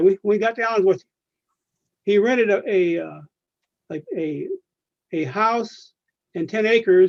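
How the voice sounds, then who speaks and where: This man has an American accent and a high pitch. He speaks at a moderate pace. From California, Central Valley. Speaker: retired railroad worker. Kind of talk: oral history interview. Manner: halting.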